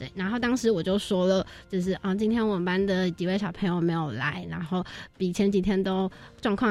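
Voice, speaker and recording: A woman speaks at a fairly quick pace in an ordinary speaking voice. Her pitch sits in the medium range, with ordinary pitch variation. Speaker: university student, volunteer team leader. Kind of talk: radio interview.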